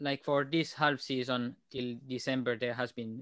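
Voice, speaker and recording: A man with a non-native accent. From Switzerland. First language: not English. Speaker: tuba player. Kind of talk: casual chat. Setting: podcast.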